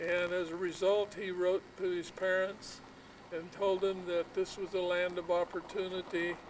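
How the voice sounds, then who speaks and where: A man speaks at a high pitch, fairly slowly, with monotone, flat intonation. Noticeable background noise runs underneath. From Michigan, then California from age nine. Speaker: retired rice farmer. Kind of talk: family oral history interview.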